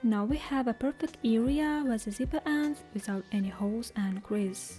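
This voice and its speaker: Over music in the background, a woman with a non-native accent speaks at a fairly high pitch with lively intonation. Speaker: sewing pattern maker. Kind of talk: sewing tutorial narration.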